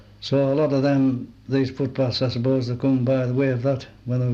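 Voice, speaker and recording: In a Cumbrian accent, a man with a medium pitch and a dark, mellow tone speaks at a moderate pace with monotone, flat intonation. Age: 70s. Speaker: oral history interviewee. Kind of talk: oral history interview.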